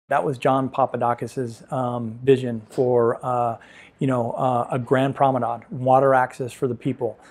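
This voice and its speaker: With a Southern California accent, a man speaks at a moderate pace in a monotone, flat intonation. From San Pedro, Los Angeles, California. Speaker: real estate agent and business owner. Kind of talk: interview answer. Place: home room. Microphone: lapel.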